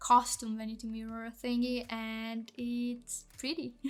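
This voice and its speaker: This woman speaks with a non-native accent. Her pitch is fairly high. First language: not English. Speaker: Sims builder and content creator. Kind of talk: voice-over commentary on a speed build. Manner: casual, hesitant with fillers and restarts.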